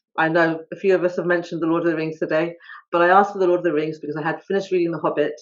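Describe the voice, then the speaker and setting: In a southern English accent, a woman speaks very fast with a fairly low pitch. Her intonation is monotone and flat. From England, High Wycombe (born in India). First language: not English (Indian language). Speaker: author. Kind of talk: talk at online author event. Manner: hesitant, many fillers.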